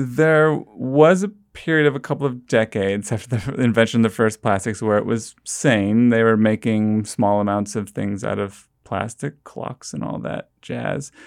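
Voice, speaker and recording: At a moderate pace with hardly any pauses, a man talks in an unremarkable speaking voice of medium pitch and ordinary pitch variation, on a very clean recording with a silent background. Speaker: author and science reporter. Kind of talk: interview conversation.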